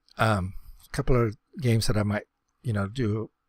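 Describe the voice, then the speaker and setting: In a very clean recording with a silent background, a man speaks at a fairly quick pace in a somewhat breathy voice. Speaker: gaming YouTuber. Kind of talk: casual gameplay commentary. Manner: hesitant, many fillers; fast.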